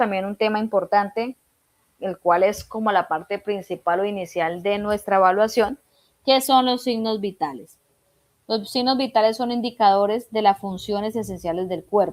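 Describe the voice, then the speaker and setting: A woman speaks at a moderate pace. Hers is a plain, everyday voice. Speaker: instructor. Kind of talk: online lecture. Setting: video call.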